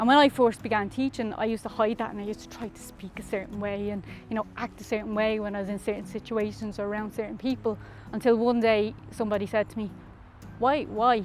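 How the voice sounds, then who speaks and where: Over music in the background, a woman with a North Dublin accent speaks very fast at a fairly high pitch, her intonation monotone and flat and her loudness swinging widely. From Ireland, North Dublin (Darndale). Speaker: community researcher and teacher. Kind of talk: testimony. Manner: casual, conversational.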